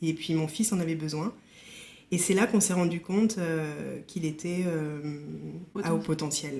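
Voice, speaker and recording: A woman's fairly low voice at a fairly slow pace, with ordinary pitch variation and long, frequent pauses. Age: 40s. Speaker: company director with burnout. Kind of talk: testimony. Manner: hesitant, many fillers.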